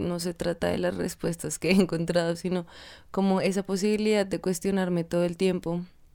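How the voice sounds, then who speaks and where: On a very clean recording with a silent background, a woman speaks at a fairly slow pace in a dark, mellow tone. Her medium pitch keeps a fairly even intonation. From Colombia, Tunja (Boyacá). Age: 20s. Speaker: dance student. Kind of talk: interview.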